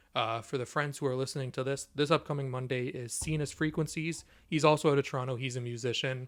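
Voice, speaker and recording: This very clean recording, with a silent background, captures a man speaking very fast. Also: medium pitch for a man. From Ontario, Canada (Niagara Falls). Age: 20s. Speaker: artist collective founder. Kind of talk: interview. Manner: animated.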